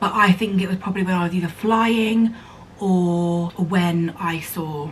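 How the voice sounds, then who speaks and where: A woman with a medium-pitched voice and an English accent talks at a moderate pace with ordinary pitch variation, over noticeable background noise. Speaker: vlogger. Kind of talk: casual chat.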